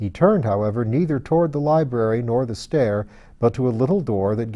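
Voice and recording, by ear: Lively intonation marks this clip of someone reading aloud in a natural voice.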